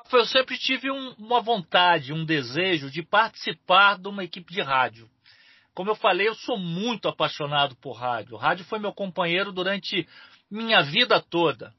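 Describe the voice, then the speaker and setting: A man speaks at a moderate pace with lively intonation. His pitch is high for a man. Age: 40s. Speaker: football radio commentator. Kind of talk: casual chat.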